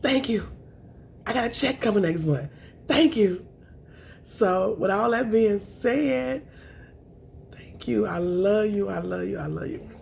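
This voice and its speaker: The voice is somewhat breathy, with very wide pitch swings. It moves at a fairly slow pace with long, frequent pauses. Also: woman, medium pitch for a woman. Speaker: food vlogger. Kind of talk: mukbang eating show chat.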